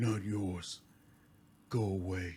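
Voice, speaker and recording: A man whispers. He uses a put-on character voice. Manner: whispered, hostile.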